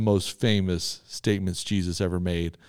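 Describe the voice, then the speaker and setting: A man with a Texan accent and a dark, mellow tone at a moderate pace, in a very clean recording with a silent background. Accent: Texan Southern US. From Texas. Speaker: church podcast co-host. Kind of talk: casual chat.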